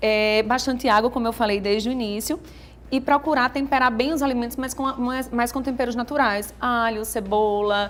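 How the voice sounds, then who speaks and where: At a moderate pace, a woman speaks high in pitch with fairly even intonation. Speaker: nutritionist. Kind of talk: TV interview. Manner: talkative.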